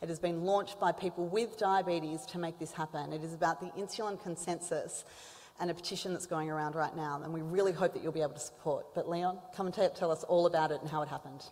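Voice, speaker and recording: Talking at a very fast pace, a woman with an Australian accent has a fairly low pitch and fairly even intonation. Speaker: symposium host, diabetes advocate. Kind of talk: conference introduction. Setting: stage with audience.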